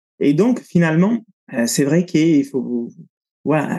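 A man talks at a moderate pace with an Italian accent. His tone is dark and mellow. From Italy. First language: Italian (speaking French). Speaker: breathing coach and cold-exposure instructor. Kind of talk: interview conversation.

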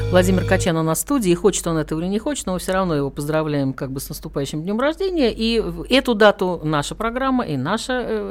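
Amid noticeable background noise, a woman with a medium pitch speaks at a very fast pace with lively intonation. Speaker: radio host. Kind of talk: casual interview chat. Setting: radio studio.

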